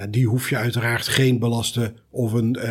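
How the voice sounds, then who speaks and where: A man talks in a somewhat breathy, medium-pitched voice with monotone, flat intonation. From Netherlands (North Brabant). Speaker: trauma surgeon. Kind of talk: expert discussion.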